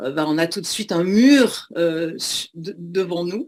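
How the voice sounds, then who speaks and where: Very slowly, a woman speaks in a fairly low pitch with ordinary pitch variation on a very clean recording with a silent background. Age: 60s. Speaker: former speed skier. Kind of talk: testimony. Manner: halting, many hesitations.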